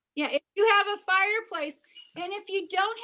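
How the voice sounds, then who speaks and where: A woman's raised, projected voice with a bright, sharp tone, moderate pace and ordinary pitch variation. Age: 60s. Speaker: teacher. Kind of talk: cooking demonstration over video call.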